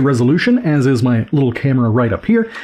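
Very wide pitch swings from a man talking at a fairly quick pace. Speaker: teacher tech reviewer. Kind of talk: product review commentary. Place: home room. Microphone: studio mic.

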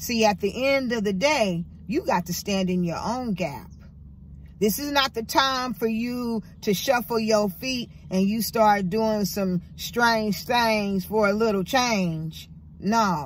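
A somewhat breathy woman speaks at a very slow pace. The sound is dry with no echo, over light background noise. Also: ordinary pitch variation. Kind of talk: casual vlog chat, motivational. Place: car. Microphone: phone near.

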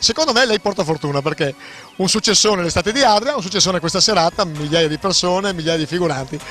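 With faint music in the background, a high-pitched man speaks at a very fast pace with lively intonation in a dry sound with no echo. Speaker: TV interviewer. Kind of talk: on-location event interview. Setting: outdoors. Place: street. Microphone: handheld.

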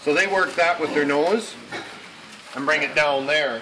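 There is noticeable background noise in this clip. A man speaks with ordinary pitch variation. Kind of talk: interview answer. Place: farm machine. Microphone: phone near.

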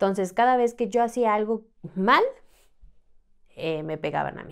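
A woman talks at a moderate speed, the background quiet. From Mexico City. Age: 30s. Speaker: trafficking survivor; podcast guest. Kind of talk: testimony. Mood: serious, recounting trauma. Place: studio. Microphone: studio mic.

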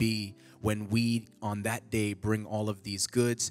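A man speaks at a fairly low pitch with monotone, flat intonation. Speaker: church announcer. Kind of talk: church announcements. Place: church. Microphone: handheld.

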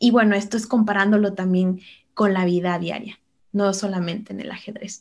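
Talking at a moderate pace with fairly even intonation and big swings in loudness, a woman has an unremarkable speaking voice at medium pitch. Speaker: chess master and coach. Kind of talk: interview with chess game analysis.

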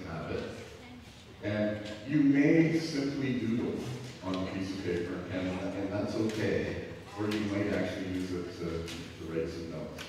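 A man's fairly low voice at a moderate pace with ordinary pitch variation, strong room echo, and light background noise. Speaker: preacher. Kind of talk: sermon. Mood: warm, joking. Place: church.

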